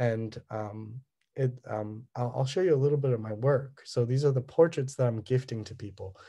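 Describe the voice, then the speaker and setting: A man with a Californian accent speaks at a moderate pace and a medium pitch, in a dark, mellow, somewhat breathy tone. His intonation is fairly even, and the background is quiet. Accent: Californian American English. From Southern California. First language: Cantonese. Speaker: artist. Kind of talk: artist talk presentation. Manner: halting, many fillers.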